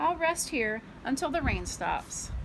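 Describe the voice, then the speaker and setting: Fairly slow delivery in a put-on character voice, clear background noise audible. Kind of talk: bedtime story. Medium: read story.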